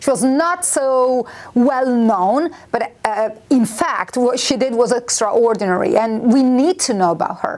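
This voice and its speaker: Speech comes at a fairly slow pace with an Italian accent. Noticeable background noise is present. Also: woman, high pitch for a woman. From Italy. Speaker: university lecturer. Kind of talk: interview. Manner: hesitant, with fillers.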